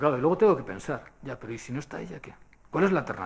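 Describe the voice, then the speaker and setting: A man talks at a very fast pace. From Basque Country, Spain. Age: 60s. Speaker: speaker at a public forum. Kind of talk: lecture. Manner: conversational, with frequent fillers.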